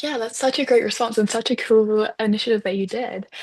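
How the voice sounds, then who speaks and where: A woman with a New Zealand accent at a fairly high pitch and a very fast pace. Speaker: student moderator. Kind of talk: webinar interview.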